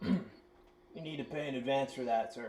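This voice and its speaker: In a put-on character voice, a man speaks at medium pitch with ordinary pitch variation, sounding raspy and keeping a moderate pace. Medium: actual play. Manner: disdainful.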